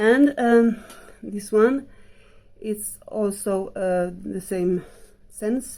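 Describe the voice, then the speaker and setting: A woman with a non-native accent speaks at a very slow pace, with long, frequent pauses. Her dark, mellow voice sits fairly high in pitch, with ordinary pitch variation and big swings in loudness. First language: not English. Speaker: vlogger. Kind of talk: casual haul review. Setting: at home in bedroom. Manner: halting, many fillers.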